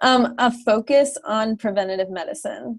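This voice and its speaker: An unremarkable speaking voice belongs to a woman who speaks at a fairly high pitch with ordinary pitch variation. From US Northeast, New Jersey. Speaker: pharmacist. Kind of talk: interview. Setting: video call.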